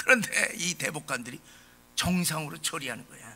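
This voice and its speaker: With a bright, sharp tone and lively intonation, a man speaks at a high pitch and a moderate pace. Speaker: pastor. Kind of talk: sermon. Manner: impassioned.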